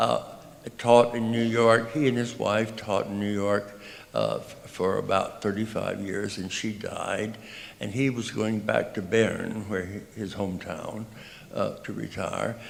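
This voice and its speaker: The voice carries an American accent. The man is heard with audible room echo. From US South, Texas (Tyler). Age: 80s+. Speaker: composer. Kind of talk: speech to audience. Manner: halting.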